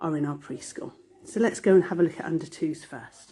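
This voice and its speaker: A woman talks at a fairly quick pace with ordinary pitch variation in a plain, everyday voice. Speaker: nursery manager. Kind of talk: guided video tour. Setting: indoors, walking through a nursery. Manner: warm, chatty.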